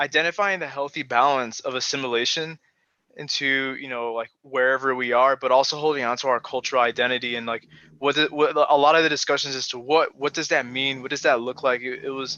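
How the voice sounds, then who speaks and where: Fairly even intonation marks this man's medium-pitched voice, delivered at a fairly quick pace with a Chicago accent. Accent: American, Chicago. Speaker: panelist. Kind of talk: panel discussion. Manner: halting, many fillers.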